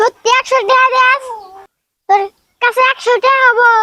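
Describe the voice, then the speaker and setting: Putting on a character voice, a man speaks in an extremely high, squeaky pitch with a monotone, flat intonation. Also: moderate pace. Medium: short film. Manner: rural dialect, scheming.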